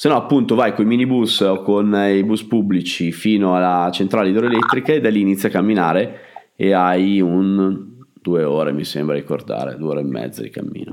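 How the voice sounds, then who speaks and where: A man with an unremarkable speaking voice talks at a moderate pace, his fairly low pitch carried by lively intonation. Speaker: travel podcast host. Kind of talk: casual interview.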